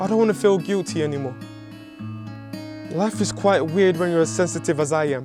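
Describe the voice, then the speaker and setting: Over background music, a man with a fairly high pitch talks at a fairly quick pace, swinging his pitch very widely and leaving long, frequent pauses. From Nigeria. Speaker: spoken word poet. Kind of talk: spoken word poetry performance.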